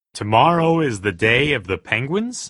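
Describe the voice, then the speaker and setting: Man in a put-on character voice, medium pitch, moderate pace. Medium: video game.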